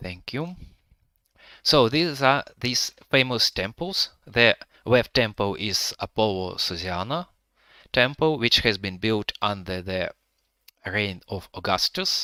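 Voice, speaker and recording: The speech moves at a very slow pace, broken by long, frequent pauses, with lively intonation and a bright, sharp tone. The sound is dry and close with no echo, on a very clean recording with a silent background. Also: man, medium pitch for a man. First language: Russian or Ukrainian. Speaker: 3D history reconstruction creator. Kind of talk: live virtual tour commentary. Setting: live stream.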